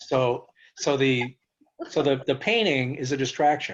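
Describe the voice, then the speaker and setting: A man speaks at a fairly high pitch against a quiet background. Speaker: cancer survivor and author. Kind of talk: interview. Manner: fast.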